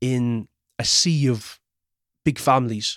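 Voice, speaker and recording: This man speaks in a Cork accent at a fairly slow pace. His pitch varies in an ordinary way. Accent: Irish (Cork). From Ireland (Cork). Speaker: screenwriter. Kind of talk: personal storytelling interview.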